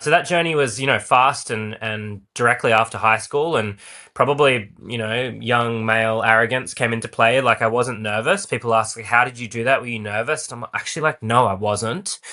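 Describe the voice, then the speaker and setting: Speaking with an Australian accent, a man talks at a fairly quick pace with hardly any pauses. His medium-pitched voice has a bright, sharp tone and ordinary pitch variation against a quiet background. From Australia, Perth. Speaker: actor and playwright. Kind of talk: podcast interview. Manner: animated.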